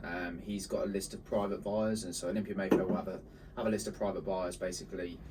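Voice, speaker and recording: Amid noticeable background noise and audible room echo, a man with a very deep, low voice speaks very fast with fairly even intonation. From northern England, Bolton. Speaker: marketing agency co-founder. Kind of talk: casual chat.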